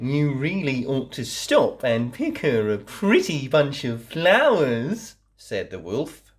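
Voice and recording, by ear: Here, someone is reading aloud in a natural voice.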